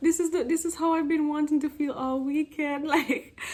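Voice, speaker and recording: A woman with a Jamaican accent at a fairly quick pace. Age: 20s. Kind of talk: casual storytime talk to camera.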